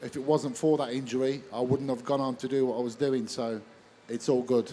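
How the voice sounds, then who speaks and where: A man with a Birmingham accent, dark and mellow in tone, monotone and flat, at a moderate pace. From Birmingham, England. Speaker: MMA referee. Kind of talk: live stage interview. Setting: stage with audience at expo.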